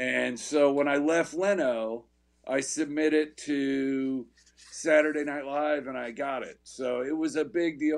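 Over a quiet background, the speaker goes very slowly with ordinary pitch variation. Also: man. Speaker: guest. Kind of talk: interview answer. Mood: upbeat, recounting career story. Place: home room. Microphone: video call.

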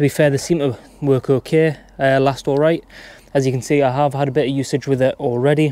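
A man's dark, mellow voice at a fairly quick pace, monotone and flat, with a dry sound and no echo. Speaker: tradesperson reviewing a tool. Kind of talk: tool review tutorial. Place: garden. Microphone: phone near.

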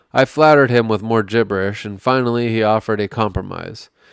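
Heard with a dry, close sound and no echo, a man with a plain, everyday voice talks at a fairly quick pace, medium pitch and ordinary pitch variation. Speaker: podcast host reading aloud. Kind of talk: literary audiobook reading of a gonzo journalism article. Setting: podcast studio with co-host.

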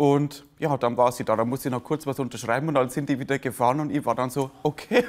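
At a very fast pace with hardly any pauses, a man of medium pitch talks with fairly even intonation. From Lower Bavaria, Germany; Bavaria, Germany. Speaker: comedian; interviewee, stage comedian. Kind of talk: interview. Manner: halting. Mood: warm, reflective storytelling. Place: cafe. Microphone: lapel.

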